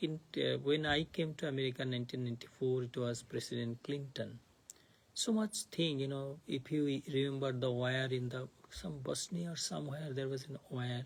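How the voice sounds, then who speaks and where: At a moderate pace, a man talks in a somewhat breathy, medium-pitched voice with ordinary pitch variation. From India (Bengal). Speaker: monk teaching scripture class. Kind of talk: lecture. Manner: halting.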